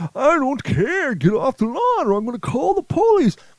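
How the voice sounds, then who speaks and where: Extremely high pitch marks this man's delivery. He is doing a put-on character voice. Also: moderate pace. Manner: gruff, scolding.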